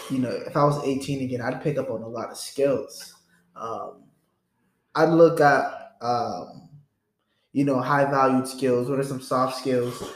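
With audible room echo, a man speaks fairly slowly in a fairly high pitch and fairly even intonation. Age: 20s. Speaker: podcast host. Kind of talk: casual chat.

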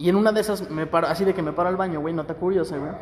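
Over noticeable background noise, a man with a high voice talks at a very fast pace. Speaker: podcast co-host. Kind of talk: casual chat.

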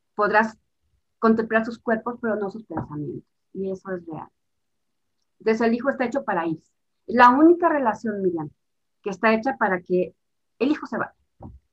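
With lively intonation and big swings in loudness, the speaker moves at a moderate pace broken by long, frequent pauses. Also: woman, fairly high pitch for a woman. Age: 50s. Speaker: family systems therapist. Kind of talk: interview.

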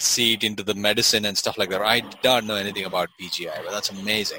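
A man's bright, sharp voice at a very fast pace. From India, Bangalore. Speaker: podcast host, doctor. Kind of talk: casual chat. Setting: video call.

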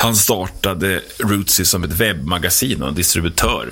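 Noticeable background noise behind a male speaker's very deep, low pitch. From Sweden, Roslagen (Herräng). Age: 40s. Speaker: prison worker and music tour promoter. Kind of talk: radio interview. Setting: radio studio.

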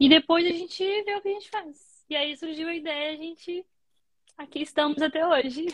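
With a Brazilian accent, a woman talks at a moderate pace in an extremely high pitch and fairly even intonation. Her loudness swings a lot. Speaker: nurse. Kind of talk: casual interview.

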